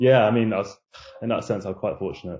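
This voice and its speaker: A man with a London accent, a dark, mellow tone and fairly even intonation. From London, Hackney. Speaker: junior banker, university graduate. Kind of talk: casual interview chat. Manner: hesitant, many fillers.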